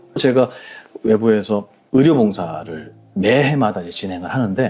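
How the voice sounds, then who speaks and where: A man speaks with music in the background. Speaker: Buddhist monk. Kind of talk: interview conversation.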